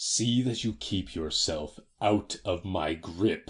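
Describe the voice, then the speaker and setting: A man growls in a menacing tone at a very slow pace. His very deep, low voice carries lively intonation. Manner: snarling, menacing.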